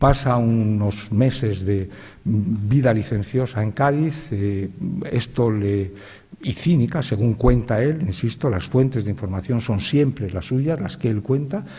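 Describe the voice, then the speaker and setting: Speaking at a fairly slow pace, a man has a dark, mellow tone, medium pitch, ordinary pitch variation, and a somewhat breathy quality. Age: 60s. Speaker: writer, panelist. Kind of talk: panel talk. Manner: halting, with fillers and repetitions.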